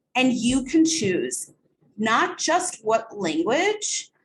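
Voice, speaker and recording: Speaking with a Spanish accent, a woman uses a high pitch with very wide pitch swings. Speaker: bilingual speech-language pathologist. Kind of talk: webinar software demo.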